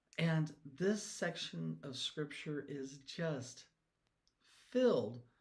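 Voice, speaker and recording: A man's animated, somewhat breathy tone. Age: 60s. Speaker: devotional songwriter and Bible teacher. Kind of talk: casual devotional talk. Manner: halting.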